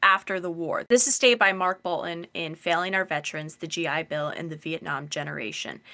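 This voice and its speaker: A woman with an American accent, a fairly low pitch and a bright, sharp tone, on a very clean recording with a silent background. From US, semi-rural suburban fringe. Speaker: podcast host. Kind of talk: casual educational discussion.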